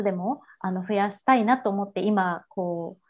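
A woman's ordinary speaking voice at medium pitch. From Japan, Kansai. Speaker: women's support business founder. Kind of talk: interview.

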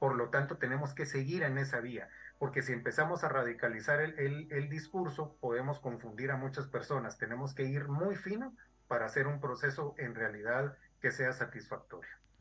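A man with a fairly high pitch and ordinary pitch variation talks at a moderate pace while noticeable background noise plays behind him. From Guatemala. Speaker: historian and social anthropologist. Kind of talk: interview. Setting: video call. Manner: formal.

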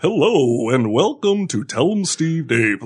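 A man's put-on character voice, fairly high in pitch and at a fairly slow pace. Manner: fake, overly smooth broadcast delivery.

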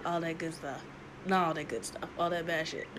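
The clip carries audible room echo along with noticeable background noise. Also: woman. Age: 20s. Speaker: podcast host. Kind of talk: casual solo monologue.

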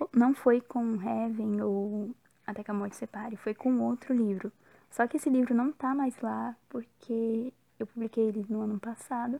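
At a moderate pace, a woman with a fairly high pitch speaks in a dark, mellow tone, with fairly even intonation and a dry, close sound that has no echo. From Brazil, São Paulo. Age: young. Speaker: novelist. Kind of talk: interview.

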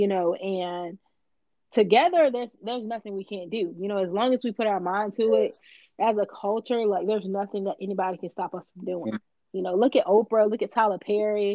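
At a fairly quick pace, a woman with an American accent speaks at medium pitch with ordinary pitch variation. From Florida. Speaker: creative entrepreneur and photographer. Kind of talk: casual interview.

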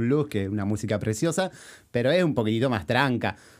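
A man with an Argentine accent at a very fast pace. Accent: Rioplatense Argentine Spanish. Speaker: podcast host and musician. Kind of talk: interview.

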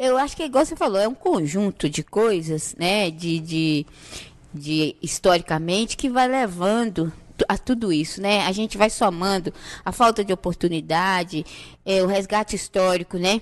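A woman with a normal speaking voice talks at a medium pitch and a moderate pace, with lively intonation. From Brazil, Santa Cruz favela. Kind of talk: podcast interview.

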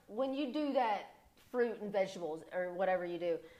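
Background noise is noticeable behind a woman speaking. She talks at a moderate pace with very wide pitch swings. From Kentucky (Morehead). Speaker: former athlete turned performer. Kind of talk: casual chat; product pitch. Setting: studio.

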